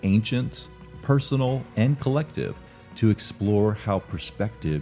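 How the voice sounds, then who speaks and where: Over music in the background, a man speaks at a fairly slow pace with a fairly low pitch and lively intonation. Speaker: podcast host.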